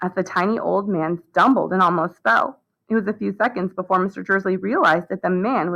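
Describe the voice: Plain read-aloud speech, the background quiet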